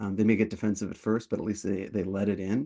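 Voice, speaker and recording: A man speaks at a very fast pace with a fairly low pitch. The background is quiet. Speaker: product management coach and webinar host. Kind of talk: webinar Q&A. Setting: online webinar. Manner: many fillers and repetitions.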